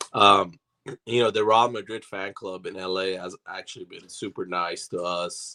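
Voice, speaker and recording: Using a raspy, hoarse put-on character voice, a man speaks at a moderate pace and a fairly low pitch. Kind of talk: casual conversation.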